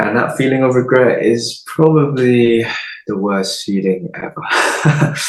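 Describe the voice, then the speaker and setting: With an English accent, a man talks at a very slow pace and a medium pitch, with audible room echo and noticeable background noise. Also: ordinary pitch variation. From England (London, then Midlands). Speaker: pageant runner-up and chiropractor. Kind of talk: interview.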